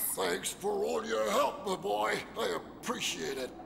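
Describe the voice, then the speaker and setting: A man speaks in a cartoonish character voice at a fairly slow pace over loud background noise. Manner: chuckling, warm.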